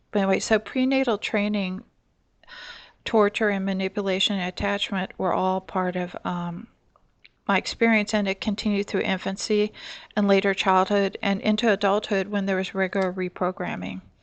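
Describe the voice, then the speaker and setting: A woman at medium pitch and a moderate pace, her intonation monotone and flat, with a dry, close sound with no echo and a quiet background. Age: 60s. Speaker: abuse survivor. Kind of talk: testimony. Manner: halting.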